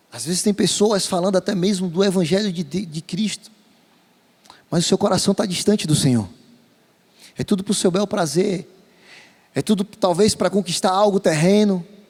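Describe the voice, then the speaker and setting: A man with a high pitch and ordinary pitch variation speaks at a moderate pace with long, frequent pauses, in a dry, close sound with no echo. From Brazilian Northeast. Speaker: pastor. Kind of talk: sermon. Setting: church.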